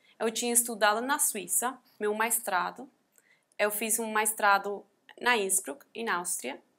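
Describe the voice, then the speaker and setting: Long, frequent pauses from a woman with a non-native accent, a bright, sharp tone and a fairly high pitch with ordinary pitch variation. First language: not Portuguese (speaking Portuguese). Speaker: NGO founder and abuse survivor. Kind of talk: testimony. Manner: halting.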